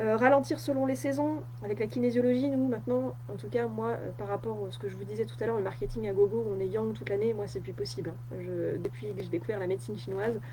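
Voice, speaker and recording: A woman talks very fast amid noticeable background noise and audible room echo. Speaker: wellness coach. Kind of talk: live stream talk. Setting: Facebook live on computer. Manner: many filler hesitations.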